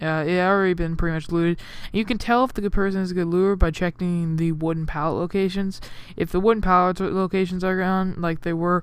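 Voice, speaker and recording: Very fast speech from a woman. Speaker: gaming youtuber. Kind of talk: gameplay commentary. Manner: casual, rambling.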